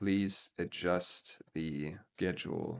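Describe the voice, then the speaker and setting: Speaking at a very slow pace with a non-native accent, a man uses a very deep, low pitch and ordinary pitch variation. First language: not English. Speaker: coding tutorial youtuber. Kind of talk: screen-recorded coding tutorial. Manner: hesitant, many filler words.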